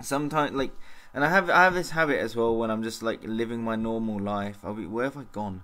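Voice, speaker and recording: A man talks at a very fast pace with a medium pitch. His tone is bright and sharp, and his intonation is lively. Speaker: vlogger. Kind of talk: casual vlog monologue. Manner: halting, stumbling over words.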